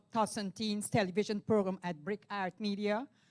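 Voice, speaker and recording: A woman speaks with a Caribbean accent at a medium pitch. Her pace is moderate, and the sound is dry and close with no echo. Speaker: TV host and youth program founder. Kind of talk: speech to pageant contestants. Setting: ballroom event.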